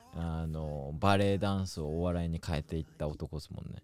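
A man speaks at a moderate pace with a very deep, low pitch and fairly even intonation. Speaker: podcast host. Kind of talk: casual chat.

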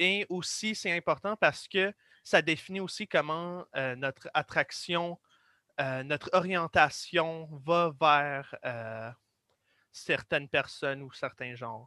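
With an English accent and a bright, sharp tone, a man speaks at a very slow pace with ordinary pitch variation and big swings in loudness, recorded very clean against a silent background with a dry, close sound and no echo. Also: fairly high pitch for a man. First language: English (speaking French). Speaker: guest explainer. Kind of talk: casual explanatory discussion. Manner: halting.

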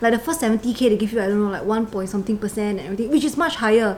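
Noticeable background noise sits behind the recording. A woman speaks at a fairly high pitch. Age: 20s. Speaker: insurance agent. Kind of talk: casual chat.

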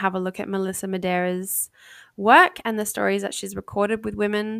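With an Australian accent, a woman speaks fairly quickly at a medium pitch and fairly even intonation on a very clean recording with a silent background. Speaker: podcast host. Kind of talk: solo podcast monologue. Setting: home recording. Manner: frequent filler words.

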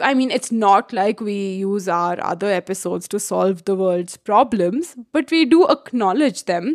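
Her voice is a plain, everyday voice at a medium pitch with lively intonation. The woman talks at a fairly slow pace with hardly any pauses. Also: dry, close sound with no echo. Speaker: podcast host. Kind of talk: casual chat.

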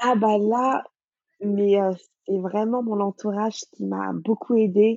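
Very slowly and with long, frequent pauses, a woman speaks in a monotone, flat intonation. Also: medium pitch for a woman. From Senegal, Dakar. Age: 30s. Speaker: cookbook author and food blogger. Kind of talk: interview.

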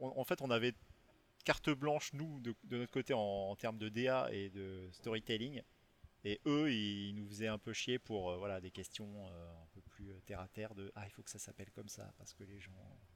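This man's voice sits fairly low, an unremarkable speaking voice with ordinary pitch variation. His loudness swings widely while he keeps a moderate pace. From western France (Rochefort, Charente-Maritime). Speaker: video game artist. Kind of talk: interview.

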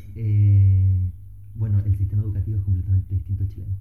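Music plays behind a man who talks very fast. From Chile, Valparaíso. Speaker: biologist and master's student. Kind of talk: casual chat. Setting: at home.

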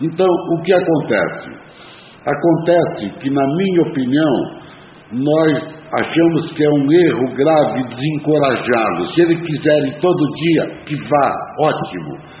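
Over noticeable background noise and audible room echo, a man speaks fairly slowly at a fairly high pitch with ordinary pitch variation. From Brazil. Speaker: recovering alcoholic sharing a talk. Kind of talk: talk at an AA meeting. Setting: meeting room.

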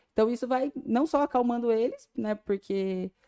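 Sounding dry and close with no echo, a woman speaks in a dark, mellow tone at a fairly high pitch. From Brazil, São Paulo state (Vale do Ribeira). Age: 20s. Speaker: dentist and clinic owner. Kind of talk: casual interview.

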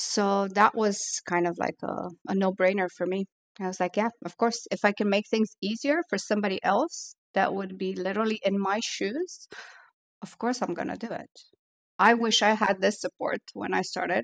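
A woman at medium pitch uses a plain, everyday voice, moving at a moderate pace with ordinary pitch variation in a dry, close sound with no echo. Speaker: barista and trainer. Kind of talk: casual interview.

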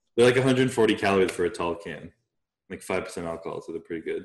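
Pitch varies in an ordinary way. The pace is fast. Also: man, low pitch for a man.

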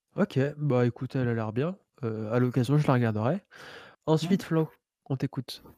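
A man with a dark, mellow tone and medium pitch speaks at a moderate pace with ordinary pitch variation and long, frequent pauses, the sound dry and close with no echo in a very clean recording with a silent background. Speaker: podcast host. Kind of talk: casual chat.

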